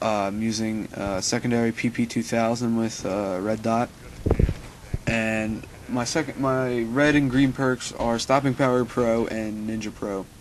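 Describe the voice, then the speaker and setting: The speech moves at a fairly slow pace with fairly even intonation. Noticeable background noise is present. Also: man, medium pitch for a man. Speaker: gaming commentator. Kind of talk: gameplay commentary. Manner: hesitant, many fillers.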